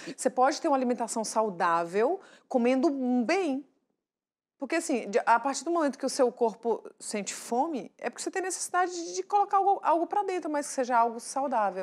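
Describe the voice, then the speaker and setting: This woman talks at a fairly quick pace in a high pitch. Her voice makes very wide pitch swings. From Brazil, northern Minas Gerais. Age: 30s. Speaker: TV show guest, mother and presenter-to-be; TV guest, presenter. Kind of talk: casual talk-show chat. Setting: TV studio. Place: studio. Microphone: lapel.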